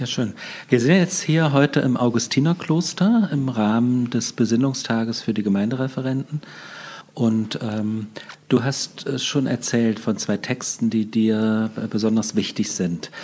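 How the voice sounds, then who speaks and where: At a fairly slow pace, a man speaks in an unremarkable speaking voice of medium pitch with ordinary pitch variation. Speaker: podcast host interviewer. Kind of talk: interview conversation. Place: church.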